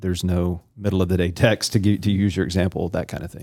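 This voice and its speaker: In a plain, everyday voice, a man speaks at a moderate pace and fairly low pitch on a very clean recording with a silent background. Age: 40s. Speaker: pastor and podcast host. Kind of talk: casual interview.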